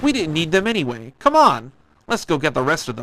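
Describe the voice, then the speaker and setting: Putting on a character voice, a man talks at a fairly quick pace in a fairly high pitch. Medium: read story.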